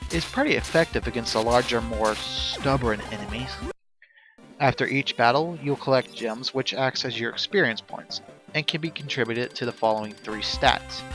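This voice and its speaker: A man speaks at a medium pitch. Music plays behind him. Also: ordinary pitch variation, moderate pace. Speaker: amateur video game reviewer. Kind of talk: video game review narration.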